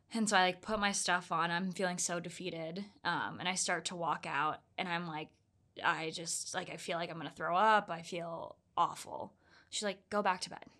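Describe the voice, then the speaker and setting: A woman with an American accent speaks at a moderate pace and a fairly low pitch in a bright, sharp tone, in a very clean recording with a silent background. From US South, Orlando, Florida. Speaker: ultra runner. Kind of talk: casual interview. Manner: animated, laughs often.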